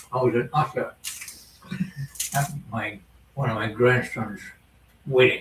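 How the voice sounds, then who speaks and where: Noticeable background noise plays beneath a man who speaks fairly slowly. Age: 80s+. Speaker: retiree guest. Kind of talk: casual chat.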